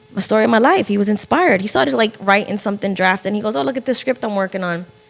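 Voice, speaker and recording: Against noticeable background noise, a woman with an American accent talks at a very fast pace, with a medium pitch and lively intonation. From northern New Jersey. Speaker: film producer and podcaster. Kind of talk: interview conversation.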